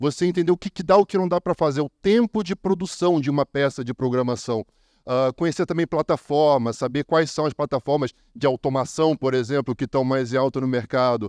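Delivered at a fairly quick pace with ordinary pitch variation, the voice has a dry, close sound with no echo over a quiet background. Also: man, fairly high pitch for a man. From Brazil. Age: 30s. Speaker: copywriter. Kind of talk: conference talk. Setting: stage with audience. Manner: animated.

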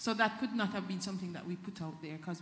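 A woman's somewhat breathy, medium-pitched voice with audible room echo. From Jamaica. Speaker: reform committee member; panel member. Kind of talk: panel discussion. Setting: hall with live audience. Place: hall. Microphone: handheld.

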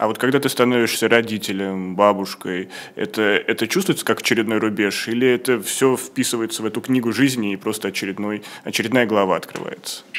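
A man speaks fairly quickly, his pitch varying in an ordinary way. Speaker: show host. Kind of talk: interview. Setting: studio. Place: studio. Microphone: studio mic.

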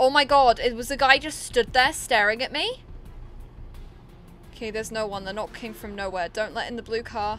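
A woman's fairly high voice at a moderate pace, broken by long, frequent pauses, with music in the background. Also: ordinary pitch variation, big swings in loudness. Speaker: gaming streamer. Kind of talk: horror game let's play commentary. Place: home room.

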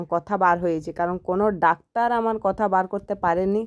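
Dry and close with no echo, a woman with an ordinary speaking voice talks at medium pitch with fairly even intonation. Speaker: vlogger. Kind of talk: casual vlog.

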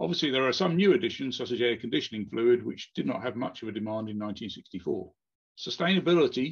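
Here a man speaks at a fairly quick pace. The background is quiet. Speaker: presenter. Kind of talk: conference presentation. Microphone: webcam.

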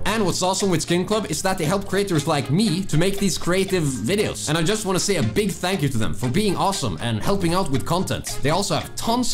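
Clear music plays behind a man who talks at a fairly quick pace. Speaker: gaming content creator. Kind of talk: sponsor read. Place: home room.

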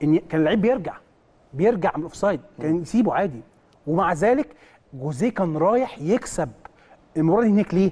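The delivery moves at a fairly quick pace but breaks into long, frequent pauses. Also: man, high pitch for a man, lively intonation. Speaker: football analyst. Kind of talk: studio match analysis. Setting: studio.

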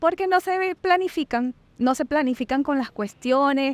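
In a Colombian accent, the speaker goes at a fairly slow pace with ordinary pitch variation, on a very clean recording with a silent background and a dry, close sound with no echo. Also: woman. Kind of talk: interview answer.

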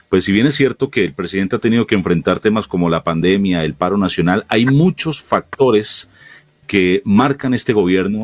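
A man with an ordinary speaking voice, fairly low in pitch, at a moderate pace, with ordinary pitch variation and very even loudness. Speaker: interviewer, show host. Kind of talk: political interview.

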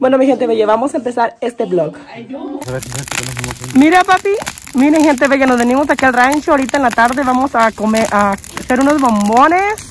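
At a moderate pace, a woman speaks with a high pitch and lively intonation. Faint background noise sits behind her.

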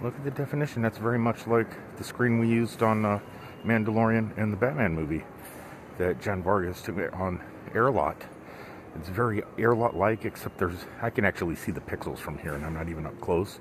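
Against noticeable background noise, a man with a fairly low pitch speaks at a fairly quick pace. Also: ordinary pitch variation, dry sound with no echo. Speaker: solo traveler vlogger. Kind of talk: casual vlog chat. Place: hall. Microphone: headset.

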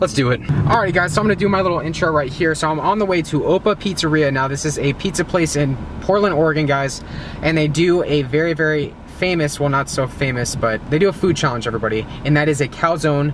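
The speech comes at a very fast pace with ordinary pitch variation. The sound is dry with no echo, though there is noticeable background noise. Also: man. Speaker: food challenge vlogger. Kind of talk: casual vlog chat. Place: car. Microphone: phone near.

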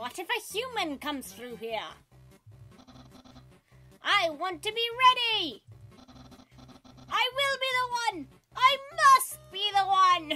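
In a put-on character voice of extremely high pitch, the speaker goes at a fairly slow pace with long, frequent pauses while faint music plays in the background. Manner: bombastic, determined.

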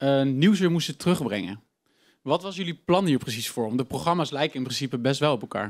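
Speaking at a very fast pace over a quiet background, a man uses lively intonation and a fairly high pitch. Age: 20s. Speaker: student presenter; presenter. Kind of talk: live interview. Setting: stage with audience. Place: studio. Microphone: handheld.

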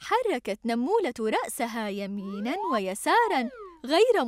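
The clip carries a natural reading voice.

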